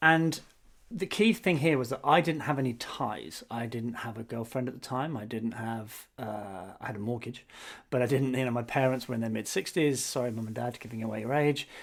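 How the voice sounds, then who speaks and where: A man with a British accent speaks at a fairly quick pace, medium in pitch and with ordinary pitch variation. The recording is very clean, with a silent background. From England. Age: 40s. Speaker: podcast co-host, marketer. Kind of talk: casual chat.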